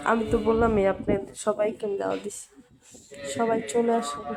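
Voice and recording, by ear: A woman's fairly high voice with little pitch movement, a slightly husky edge, a slightly mellow tone and vocal fry, at a fairly quick pace.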